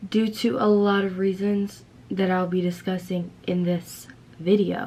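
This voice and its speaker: With a normal speaking voice at medium pitch, a woman talks at a fairly slow pace. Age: 20s. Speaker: vlogger. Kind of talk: casual talk to camera.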